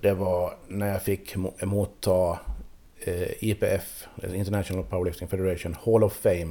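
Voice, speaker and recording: A man speaks in a very deep, low voice with a dark, mellow tone, flat monotone intonation, and a fairly slow pace broken by long, frequent pauses. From Åland. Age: 40s. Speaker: powerlifter. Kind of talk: radio interview.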